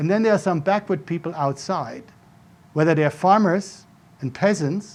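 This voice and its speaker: With a German accent, a man talks at a moderate pace in a high pitch, his pitch varying in an ordinary way. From Germany (Frankfurt suburb). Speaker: professor. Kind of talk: lecture.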